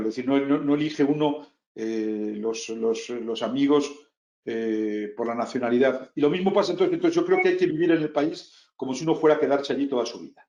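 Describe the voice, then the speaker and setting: A man talks fairly quickly in a Castilian accent. His fairly high voice has lively intonation. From Spain. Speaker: business executive. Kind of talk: interview talk. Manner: halting, many repetitions and fillers.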